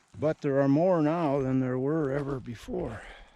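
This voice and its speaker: A man's ordinary speaking voice, medium in pitch, at a fairly slow pace with fairly even intonation. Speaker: nature vlogger living rurally. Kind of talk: casual vlog monologue outdoors. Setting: outdoors at the edge of a bog.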